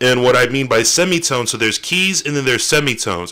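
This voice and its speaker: Loud and bright with a sharp edge, a man's fairly high voice moves with lively intonation. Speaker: music producer streamer. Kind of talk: tutorial. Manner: casual, loose. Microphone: very close to the microphone.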